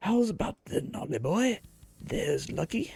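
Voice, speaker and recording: A put-on character voice sits fairly high in pitch. It moves at a moderate pace. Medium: game stream. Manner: chatty, cheeky, dialect-heavy.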